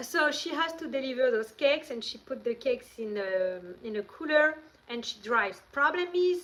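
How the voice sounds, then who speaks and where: Against noticeable background noise, a woman with a French accent speaks at a high pitch and moderate pace, with lively intonation and big swings in loudness. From France. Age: 40s. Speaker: vlogger. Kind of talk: casual chat. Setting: livestream.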